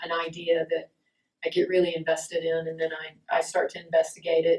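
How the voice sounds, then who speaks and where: Here a woman speaks with an Alabama accent at a fairly low pitch. Her pace is moderate. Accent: Southern US (Alabama). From US South, rural Alabama, Appalachian foothills. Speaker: painter. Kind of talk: casual talk about her artwork. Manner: relaxed, with many fillers (uh, um).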